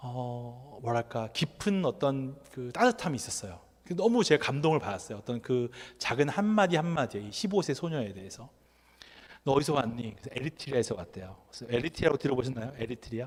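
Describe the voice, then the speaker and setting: Very fast, somewhat breathy speech from a man of medium pitch, with lively intonation and big swings in loudness. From Korea. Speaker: NGO worker and lecturer. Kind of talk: lecture. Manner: conversational.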